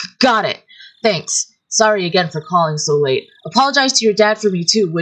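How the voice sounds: Lively intonation marks a natural reading voice, heard against a quiet background.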